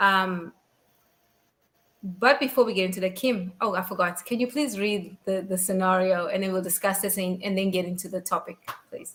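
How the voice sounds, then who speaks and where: A woman at a moderate pace, her intonation fairly even, with long, frequent pauses. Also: medium pitch for a woman. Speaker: podcast host. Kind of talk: casual chat. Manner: swallows words.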